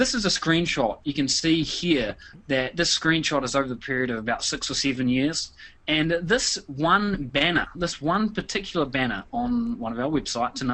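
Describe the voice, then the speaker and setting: This man's pitch is fairly high and swings very widely. He talks at a moderate pace. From New Zealand. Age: 30s. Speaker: internet marketer. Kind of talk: webinar presentation. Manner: frequent fillers, hesitant repetitions.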